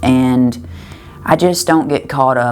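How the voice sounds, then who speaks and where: A woman's very deep, low voice in a strong Southern US accent, at a very slow pace, over noticeable background noise. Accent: thick Southern US. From US South, western Kentucky. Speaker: singer-songwriter. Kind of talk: interview. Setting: backstage at a music festival. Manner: halting, with repeated words and fillers.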